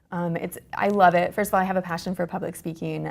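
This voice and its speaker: This woman talks at a fairly low pitch. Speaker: employer branding manager. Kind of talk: interview. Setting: conference. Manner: fast.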